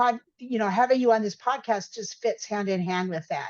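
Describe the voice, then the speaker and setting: Her pitch is fairly high with ordinary variation as a woman talks in a normal speaking voice. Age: 60s. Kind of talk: casual interview chat.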